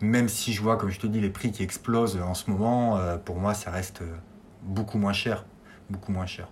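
A somewhat breathy man speaks with fairly even intonation. Audible room echo is present. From Auvergne, France (Clermont-Ferrand). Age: 40s. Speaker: tiny house dweller. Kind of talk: interview. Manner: hesitant, repeats words.

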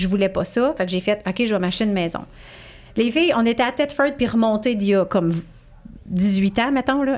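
Speaking at a fairly quick pace, a woman is heard on a very clean recording with a silent background. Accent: Quebec. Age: 40s. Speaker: positive psychology coach. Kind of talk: casual chat.

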